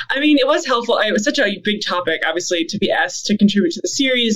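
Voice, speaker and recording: Very fast, a woman speaks with very wide swings in pitch. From Canada. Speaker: theology professor, author. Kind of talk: interview conversation. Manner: fast talker.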